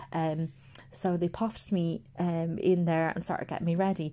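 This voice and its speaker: Speaking with an Irish accent, a woman talks at a fairly low pitch and a fairly slow pace with fairly even intonation. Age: 30s. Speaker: podcast host. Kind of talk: personal monologue.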